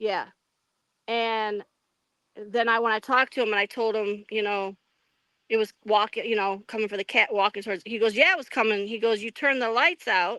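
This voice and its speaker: A loud woman with a bright, sharp tone speaks at a fairly quick pace and fairly high pitch with fairly even intonation, in a very clean, dry, close recording with no echo and a silent background. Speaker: Bigfoot eyewitness. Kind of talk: interview. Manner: halting.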